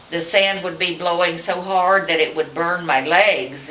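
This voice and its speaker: Through audible room echo and noticeable background noise, a woman speaks in an American accent, her pitch fairly low. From West Texas. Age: 80s+. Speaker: grandmother interviewed by family. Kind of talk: family oral-history interview. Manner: halting, with repetitions and fillers.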